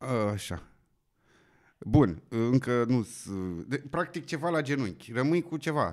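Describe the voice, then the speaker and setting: Against a quiet background, a man speaks at a very slow pace with long, frequent pauses. His intonation is lively. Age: 30s. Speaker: podcast host. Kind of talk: interview. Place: studio. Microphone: studio mic.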